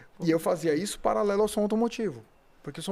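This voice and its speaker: Lively intonation marks this man's voice. He speaks at a very fast pace. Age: 40s. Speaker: car audio technical consultant. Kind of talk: casual chat.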